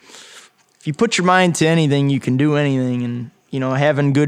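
An ordinary speaking voice talks with an American accent at a moderate pace. The intonation stays fairly even. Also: man. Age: 20s. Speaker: young farmer. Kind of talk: interview. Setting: on location at a winery.

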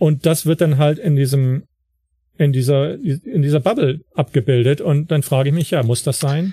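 A somewhat breathy voice with a dark, mellow tone speaks at a moderate pace with ordinary pitch variation, the sound dry and close with no echo. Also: man, fairly high pitch for a man. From northern Germany, Wilhelmshaven. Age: 50s. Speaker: photography blogger and writer. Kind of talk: interview. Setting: online call.

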